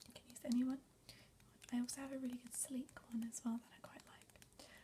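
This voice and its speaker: A soft-spoken woman talks in a whisper. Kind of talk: ASMR makeup tutorial, casual talk to camera. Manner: whispered, soft-spoken.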